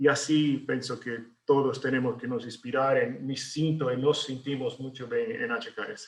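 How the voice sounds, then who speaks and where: Speaking with a Brazilian accent, a man uses a medium pitch and a somewhat breathy voice. His pace is fairly slow, and he leaves hardly any pauses. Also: ordinary pitch variation. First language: Portuguese (speaking Spanish). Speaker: architect. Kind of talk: webinar presentation. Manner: halting, many fillers and repetitions.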